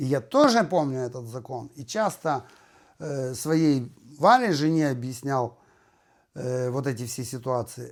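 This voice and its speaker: At a very slow pace, a man talks with long, frequent pauses in a very clean recording with a silent background. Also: medium pitch for a man, ordinary pitch variation. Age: 50s. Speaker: renovation worker and video blogger. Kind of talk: casual monologue.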